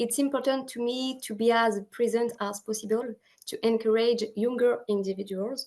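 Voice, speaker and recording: A woman's fairly high voice with a French accent, at a moderate pace. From France. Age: 20s. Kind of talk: prepared speech. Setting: video call.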